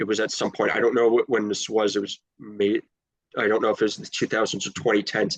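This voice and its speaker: Talking at a very fast pace in a flat monotone, a man with an American accent is heard in a dry, close sound with no echo. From US Northeast, Long Island New York. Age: 20s. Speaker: interviewee sharing health journey. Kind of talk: interview. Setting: call. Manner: halting, frequent restarts.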